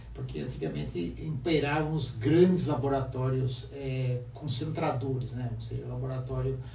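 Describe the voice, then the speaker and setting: A man at a moderate pace with hardly any pauses, over noticeable background noise and audible room echo. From Brazil, Avaré, interior of São Paulo state. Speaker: photographer. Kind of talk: casual interview.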